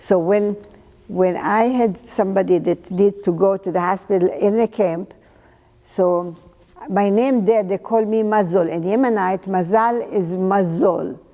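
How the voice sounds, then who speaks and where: Over noticeable background noise, a woman speaks fairly slowly at a medium pitch with fairly even intonation. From Jerusalem, Israel. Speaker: oral history interviewee. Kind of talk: oral history testimony. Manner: halting.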